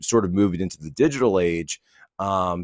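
A man speaks at a moderate pace with a very deep, low pitch. The background is quiet, and the sound is dry with no echo. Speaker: remote podcast guest. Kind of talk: interview answer. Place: home room. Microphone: studio mic.

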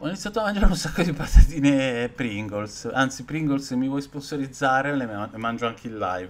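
Loudness swings widely as a man talks at a fairly quick pace with hardly any pauses. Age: 40s. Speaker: horror film youtuber; streamer, film reviewer. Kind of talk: live stream film review chat; casual live-stream chat. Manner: animated; halting. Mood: relaxed, joking. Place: home room. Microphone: webcam.

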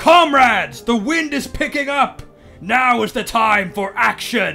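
Over clear background music, a man does a cartoonish character voice, raised and projected, at an extremely high pitch and a fairly slow pace. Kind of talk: rousing revolutionary speech. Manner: grandiose, stirring, heroic.

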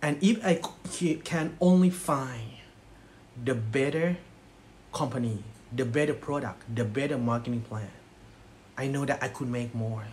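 Amid light background noise, a man with a Thai accent speaks at a fairly slow pace with ordinary pitch variation and long, frequent pauses. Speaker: network marketing distributor; presenter. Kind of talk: motivational speech. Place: home room. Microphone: phone near.

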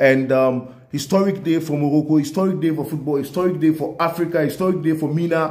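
A man's animated, somewhat breathy voice at a fairly quick pace. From Ghana. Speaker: sports video commentator. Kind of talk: solo video commentary. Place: home room. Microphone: phone near.

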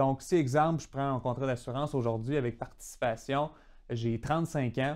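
A man with a medium pitch speaks at a moderate pace in a very clean recording with a silent background. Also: fairly even intonation. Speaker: financial advisor explaining insurance and tax. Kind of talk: tutorial. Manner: repeats words, some hesitation.

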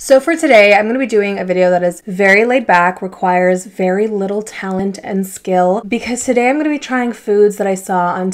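Keeping a moderate pace with hardly any pauses, a woman speaks with ordinary pitch variation. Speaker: vlogger. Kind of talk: casual vlog chat. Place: home room. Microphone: camera far.

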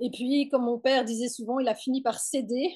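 Against a quiet background, a woman speaks at a high pitch with a dark, mellow tone. Her intonation stays fairly even and her pace is moderate. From French-speaking Switzerland, Nyon near Lausanne; Switzerland. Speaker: mantrailing instructor; interviewee. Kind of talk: interview. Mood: warm, relaxed. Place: home room. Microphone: video call.

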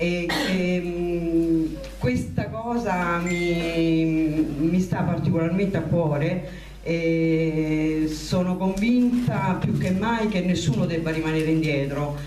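Very slow speech with ordinary pitch variation, audible room echo and light background noise. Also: woman, fairly low pitch for a woman. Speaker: candidate. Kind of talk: public speech. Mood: nervous, emotional. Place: hall. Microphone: handheld.

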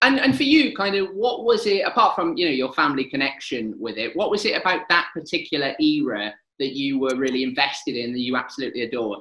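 A very fast man with a Welsh accent, very wide pitch swings and hardly any pauses, over a quiet background. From Wales. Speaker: local TV presenter. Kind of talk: interview. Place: home room. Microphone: webcam.

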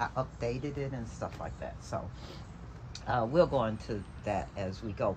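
Background noise is noticeable. The talking goes fairly slowly. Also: woman. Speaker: craft vlogger. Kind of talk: casual vlog. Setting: outdoors on deck gazebo. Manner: rambling with fillers. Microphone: phone near.

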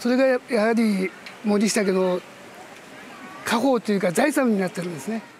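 A man with a high-pitched voice talks at a moderate pace, his pitch varying in an ordinary way, with long, frequent pauses over light background noise. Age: 60s. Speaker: kamishibai storyteller. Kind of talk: interview answer. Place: garden.

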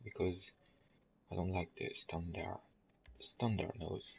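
He speaks with a French accent. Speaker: video game tutorial creator. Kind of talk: game tutorial voice-over. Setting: low-quality home microphone, quiet. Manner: hesitant, many filler sounds.

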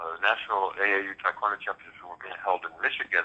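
This is a man speaking. He talks at a moderate pace. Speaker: fitness professor and martial artist. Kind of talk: casual interview.

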